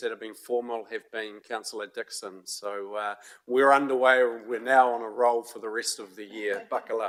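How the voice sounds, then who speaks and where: At a moderate pace, the speaker talks in a New Zealand accent with monotone, flat intonation. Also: man, big swings in loudness. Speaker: committee chair. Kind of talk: council meeting.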